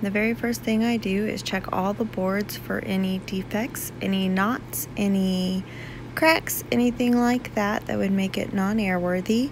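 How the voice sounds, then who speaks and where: A woman speaks at a fairly slow pace with a dry sound and no echo, over noticeable background noise. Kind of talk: tutorial. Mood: relaxed, lightly humorous. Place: workshop.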